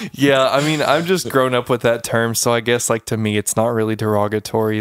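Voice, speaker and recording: A man's ordinary speaking voice at a medium pitch with an American accent, a moderate pace and ordinary pitch variation, in a dry, close, very clean recording with no echo and a silent background. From eastern Oklahoma. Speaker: podcast host. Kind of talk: casual chat.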